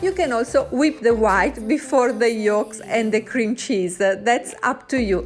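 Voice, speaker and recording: The speaker has an Italian accent and a fairly slow pace, with hardly any pauses. Loudness stays very even, pitch variation is ordinary, and background noise is noticeable. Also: woman, fairly high pitch for a woman. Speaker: cooking video host. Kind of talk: cooking tutorial.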